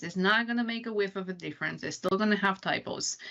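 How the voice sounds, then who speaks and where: A woman at a medium pitch, talking at a very fast pace. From Romania. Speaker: accessibility program manager. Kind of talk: podcast interview answer.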